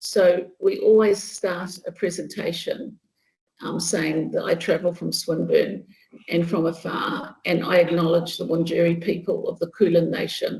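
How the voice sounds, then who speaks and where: This is a woman speaking at a moderate pace. She talks in a New Zealand accent. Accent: New Zealand (Kiwi). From New Zealand, Bay of Plenty. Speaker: nursing professor. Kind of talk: lecture.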